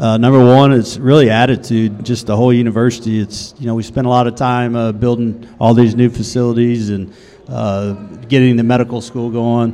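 Over noticeable background noise, a man with a Texan accent talks at a fairly quick pace and medium pitch in a flat monotone, with hardly any pauses. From Texas, Waco. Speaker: women's basketball head coach. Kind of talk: casual interview. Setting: on campus, student union.

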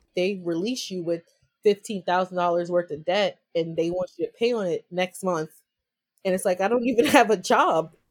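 A woman with an American accent talks at a moderate pace in a normal speaking voice. Her medium pitch varies in an ordinary way, and the sound is dry and close with no echo. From New York. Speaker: entrepreneur and activist. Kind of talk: interview. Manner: casual, laughs often.

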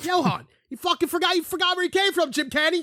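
In an American accent, a man projects a raised voice with a bright, sharp tone at a fairly quick pace, the recording very clean and silent behind him, the sound dry and close with no echo. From Philadelphia. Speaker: podcast co-host. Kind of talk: casual chat. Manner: animated.

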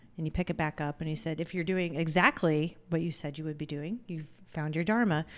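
A woman speaks with a very deep, low pitch at a fairly quick pace. Her intonation stays fairly even. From Illinois, US Midwest. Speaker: wellness coach. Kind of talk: casual chat. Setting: studio. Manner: talkative.

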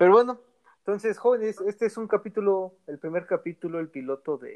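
The man's intonation is lively. His speech moves at a fairly quick pace. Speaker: podcast host. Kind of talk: casual chat.

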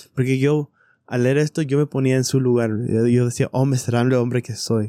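A man talks at a moderate pace in a dark, mellow tone with monotone, flat intonation. The recording is very clean with a silent background and a dry, close sound with no echo. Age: 30s. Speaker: scripture study podcast co-host. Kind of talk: casual scripture discussion. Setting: recording at night at home.

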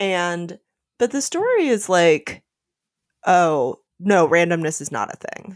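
A woman with a fairly low pitch and lively intonation speaks at a very slow pace, with long, frequent pauses and big swings in loudness. The recording is very clean, with a silent background. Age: 30s. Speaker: literature podcast host. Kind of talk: casual chat.

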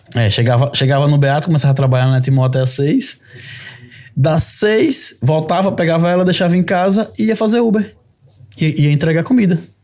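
Fairly high for a man, this voice has a dark, mellow tone, lively intonation, very even loudness and a fairly quick pace. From Brazil, Sergipe. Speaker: lawyer. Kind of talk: podcast conversation.

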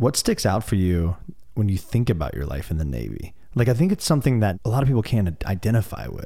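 A man with an American accent talks very fast in a fairly low voice, somewhat breathy and dark and mellow in tone, with very wide pitch swings. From Peoria, Illinois, US Midwest. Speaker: podcast host, interviewer. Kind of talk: casual interview conversation.

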